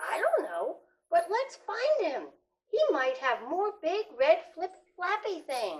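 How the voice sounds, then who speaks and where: A put-on character voice from a woman, pitched extremely high and delivered fairly slowly. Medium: read story.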